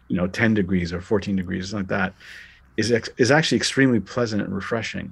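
A man speaks with a Canadian accent. His pace is very fast. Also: ordinary pitch variation. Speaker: documentary director and laughter expert. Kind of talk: interview. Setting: remote call. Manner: halting.

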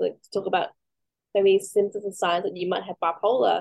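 At a moderate pace, a woman talks in a medium-pitched voice with monotone, flat intonation. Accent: Australian. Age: 30s. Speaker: mental health peer worker and pageant contestant. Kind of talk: casual interview. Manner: halting, many fillers.

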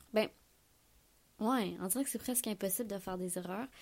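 A woman with a Quebec accent. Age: 20s. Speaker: podcast host. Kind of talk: solo monologue. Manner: casual, hesitant.

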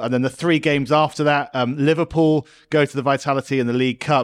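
Very fast speech with fairly even intonation and very even loudness is heard over a quiet background. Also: man. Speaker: podcast host. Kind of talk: casual sports chat. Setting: studio.

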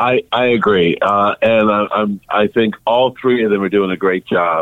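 Speaking at a moderate pace, a man uses a medium pitch with ordinary pitch variation in a plain, everyday voice. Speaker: music journalist. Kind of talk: casual interview chat.

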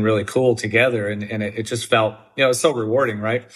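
Delivered at a fairly quick pace with fairly even intonation, this is a normal speaking voice with an American accent. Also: man. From US Midwest, southern Wisconsin. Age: 40s. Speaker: chef and restaurateur. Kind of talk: interview.

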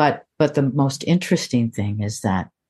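A woman's dark, mellow, very deep and low voice with an American accent, ordinary pitch variation and a fairly slow pace over a quiet background. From US Midwest, Cleveland. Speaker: singer-songwriter and memoirist. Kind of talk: interview.

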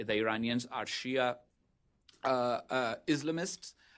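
A man with a Pakistani accent in a very clean recording with a silent background. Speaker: former ambassador, policy expert. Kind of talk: panel presentation. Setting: stage with audience.

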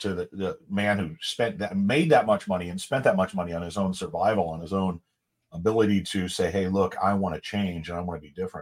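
The recording is very clean, with a silent background. A plain, everyday voice keeps a fairly quick pace, its pitch varying in an ordinary way. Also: man, fairly low pitch for a man. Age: 30s. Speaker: podcast co-host. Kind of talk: casual chat.

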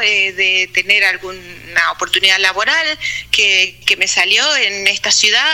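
A woman talks very slowly as noticeable background noise carries on behind her. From Argentina, Buenos Aires province (Punta Alta). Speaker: physicist living abroad. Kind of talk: interview.

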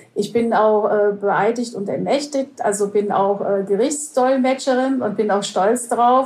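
A woman's fairly high-pitched voice, an ordinary speaking voice with ordinary pitch variation. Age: 50s. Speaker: conference interpreter. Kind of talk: interview.

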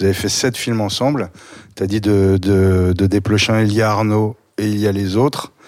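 In a normal speaking voice, the speaker keeps a fairly even intonation. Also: man, fairly low pitch for a man, moderate pace. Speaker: podcast host. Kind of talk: interview.

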